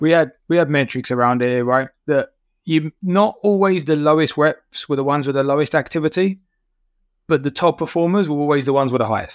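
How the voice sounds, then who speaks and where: A normal speaking voice from a man, fairly high in pitch, fairly quick, with ordinary pitch variation and a dry, close sound with no echo. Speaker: podcast co-host. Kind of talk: casual interview.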